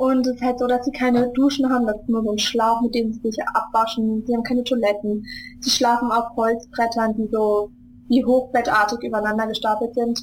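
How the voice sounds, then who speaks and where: This woman talks at a fairly quick pace with monotone, flat intonation. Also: fairly high pitch for a woman. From Germany, Hesse (Wiesbaden). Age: 20s. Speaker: charity founder. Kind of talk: interview. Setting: Skype call.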